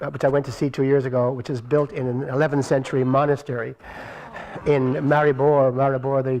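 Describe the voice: This man's medium-pitched voice has a slightly mellow tone, moving at a fairly quick pace with little pitch movement.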